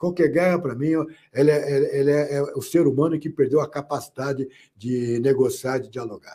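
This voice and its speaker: At a moderate pace, a man with a fairly high pitch and a dark, mellow tone speaks with fairly even intonation. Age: 60s. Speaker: political commentator. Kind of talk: panel discussion. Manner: halting.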